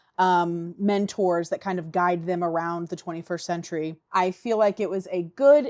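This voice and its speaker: A woman with an American accent has a medium pitch, a dark, mellow tone and fairly even intonation, captured on a very clean recording with a silent background and a dry, close sound with no echo. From US Midwest, Indiana. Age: 20s. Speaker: book vlogger. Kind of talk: casual vlog.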